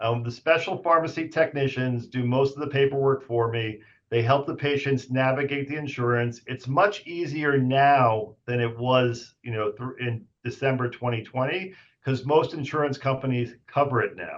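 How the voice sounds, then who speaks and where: This man uses a normal speaking voice, fairly even intonation, a moderate pace and hardly any pauses. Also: medium pitch for a man. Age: 50s. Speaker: radiation oncologist. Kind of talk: casual interview. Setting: podcast.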